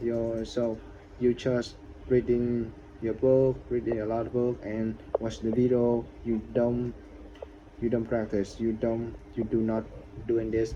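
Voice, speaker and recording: A man's medium-pitched, monotone, flat delivery at a fairly slow pace, with long, frequent pauses. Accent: non-native. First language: not English. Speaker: English learner vlogger. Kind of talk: casual vlog monologue. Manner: halting, many repetitions.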